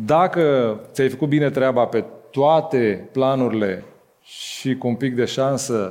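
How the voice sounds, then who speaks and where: This man has a plain, everyday voice at a medium pitch. His pitch varies in an ordinary way. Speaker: music label co-founder. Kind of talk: live interview on stage. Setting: stage with audience.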